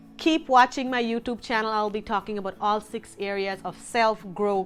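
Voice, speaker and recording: A woman speaks at a moderate pace with a non-native accent, her pitch fairly high. Her tone is bright and sharp, with ordinary pitch variation. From Guyana. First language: not English. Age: 30s. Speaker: lifestyle vlogger. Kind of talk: casual vlog talk to camera.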